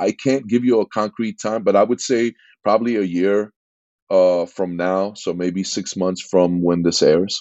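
A man with an East Coast US accent speaks at a moderate pace in a fairly low voice. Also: fairly even intonation. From New York, Queens. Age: 50s. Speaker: entrepreneur, former music producer. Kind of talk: interview.

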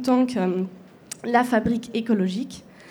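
A woman speaks very slowly, her pitch fairly high with ordinary variation. Her tone is dark and mellow. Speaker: panel moderator. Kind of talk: panel moderation. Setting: stage with audience. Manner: halting.

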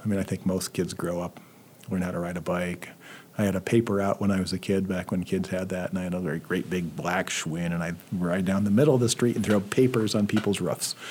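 This man has a very deep, low voice and talks at a fairly quick pace with fairly even intonation. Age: 60s. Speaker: history professor. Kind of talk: interview. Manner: hesitant, many fillers.

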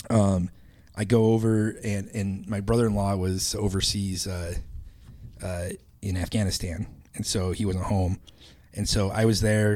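Fairly slow and marked by long, frequent pauses, a man with an American accent speaks in a fairly low pitch with a dark, mellow tone and monotone, flat intonation. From Idaho. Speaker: podcast co-host. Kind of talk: casual chat.

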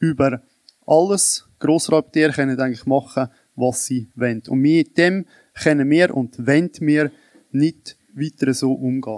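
A man's plain, everyday voice, fairly high-pitched with ordinary pitch variation, at a fairly slow pace in a dry, close sound with no echo. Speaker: citizens' association president. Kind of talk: panel debate.

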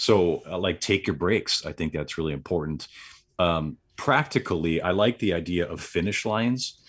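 A man with a very deep, low pitch talks at a moderate pace with lively intonation, in a very clean recording with a silent background. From US Midwest, southeast Wisconsin. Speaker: entrepreneur, retreat organizer. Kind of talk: interview, casual chat.

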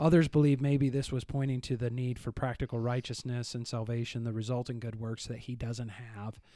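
Speaking fairly quickly with hardly any pauses, a man with a Northern Midwestern accent delivers his words in a monotone, flat intonation and a dark, mellow tone. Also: medium pitch for a man. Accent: Northern Midwestern American. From US Midwest. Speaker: church podcast co-host discussing the Bible. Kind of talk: casual Bible discussion. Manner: rambling.

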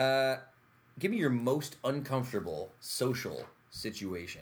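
A man with an American accent, medium pitch, lively intonation and a somewhat breathy sound. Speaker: podcast host. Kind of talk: casual chat. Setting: studio.

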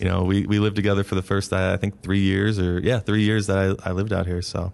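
Very fast speech in a Midwestern American accent with monotone, flat intonation. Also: man. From northeast Ohio, US. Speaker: school principal. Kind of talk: casual interview.

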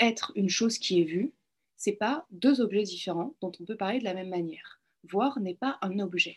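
Somewhat breathy, a woman at medium pitch uses lively intonation in a dry, close recording with no echo. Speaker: philosophy doctoral student and clinical psychologist. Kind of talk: lecture. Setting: video call.

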